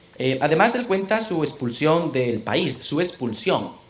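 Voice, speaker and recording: A man speaks with lively intonation in a space with audible room echo, and noticeable background noise is present. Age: 30s. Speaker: lecturer. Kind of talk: lecture. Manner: hesitant, many fillers.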